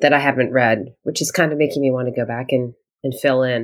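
A woman speaks at a moderate pace. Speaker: podcast co-host. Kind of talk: casual chat about books. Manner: conversational, uses fillers.

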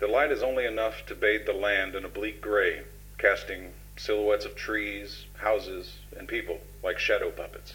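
With music in the background, a man speaks at a moderate pace, his loudness swinging widely. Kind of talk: horror narration fiction.

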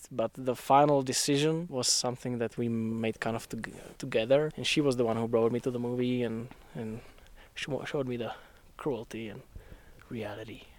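Here is a man at a medium pitch with fairly even intonation. He keeps a moderate pace. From Czech Republic, southern Moravia. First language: Czech. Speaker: electrical engineer. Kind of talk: casual interview. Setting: outdoors, hiking a snowy mountain trail. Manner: occasional stammers.

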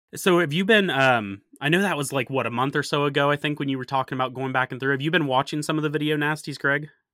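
This man's voice sits fairly high and varies in pitch in an ordinary way, with hardly any pauses. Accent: northern US. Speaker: horror podcast host. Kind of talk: casual chat.

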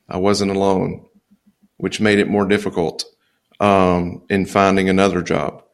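Speaking in a Louisiana accent, a man with a fairly low pitch uses monotone, flat intonation at a fairly slow pace with long, frequent pauses. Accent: US Southern (Louisiana). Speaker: accountant and business consultant. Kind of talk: interview conversation. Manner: laid back.

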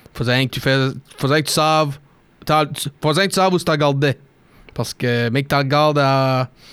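Over a very clean recording with a silent background, a man speaks at a fairly slow pace with a fairly high pitch. His intonation is fairly even, his loudness very even, and his pauses long and frequent. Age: 20s. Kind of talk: casual chat.

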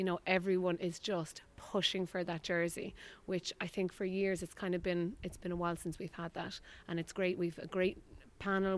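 The speaker has an Irish accent and keeps a moderate pace. The intonation is monotone and flat. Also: woman. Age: 30s. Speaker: ladies Gaelic footballer. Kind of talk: post-match interview.

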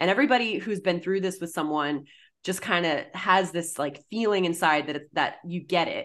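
Against a quiet background, a woman with a plain, everyday voice and an American accent speaks at a moderate pace and fairly low pitch, with ordinary pitch variation. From US Northeast, Massachusetts (Boston). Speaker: writer and mental health advocate. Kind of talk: interview.

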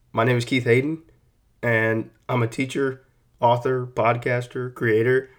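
A man with a Texan accent, medium-pitched and fairly slow, with monotone, flat intonation. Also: very clean recording, silent background. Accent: Texan American. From Texas, San Antonio. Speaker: author and teacher. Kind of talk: casual monologue. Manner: relaxed, hesitant with fillers.

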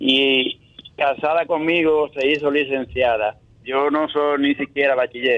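Speaking at a fairly slow pace, a man with a fairly high voice keeps a monotone, flat intonation and very even loudness. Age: 60s. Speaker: caller. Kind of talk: call-in comment. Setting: phone call. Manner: halting.

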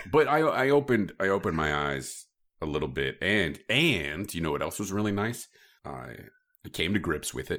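A man's very deep, low voice with vocal fry and a Midwestern US accent, swinging very widely in pitch at a moderate pace, in a very clean recording with a silent background. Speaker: podcast host. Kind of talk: casual chat.

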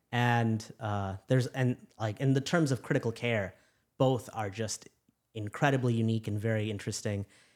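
A man with an American accent uses a normal speaking voice at medium pitch and moderate pace, with fairly even intonation, on a very clean recording with a silent background. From US Midwest, Chicago. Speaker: physician. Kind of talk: casual chat.

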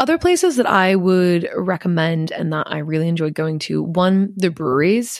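A woman with an Inland Northwest accent. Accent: American (Inland Northwest). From Montana, US (Missoula). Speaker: travel podcast host. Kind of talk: casual solo monologue.

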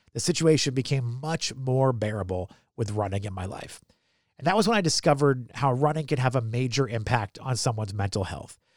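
On a very clean recording with a silent background, a man with an American accent uses an ordinary speaking voice at a medium pitch, with lively intonation and a fairly quick pace. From United States. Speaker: podcast host. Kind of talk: casual interview.

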